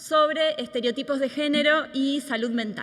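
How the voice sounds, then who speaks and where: A woman's high, bright, sharp voice is raised and projected, with ordinary pitch variation. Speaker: law professor and researcher. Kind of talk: lecture.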